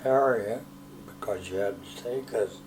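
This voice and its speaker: Over noticeable background noise, a man talks in a medium pitch, his intonation fairly even. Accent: American. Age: 80s+. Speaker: Navy veteran. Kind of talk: interview answer.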